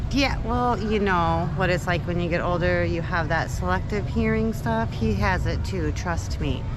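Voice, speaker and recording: A woman talks at a moderate pace with hardly any pauses and very even loudness, with audible room echo and noticeable background noise behind her. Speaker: travel vlogger. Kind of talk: casual chat.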